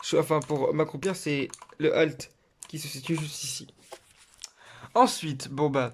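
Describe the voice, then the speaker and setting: This is a man's voice. His pitch is fairly high. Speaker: gaming youtuber. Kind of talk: tutorial. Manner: halting.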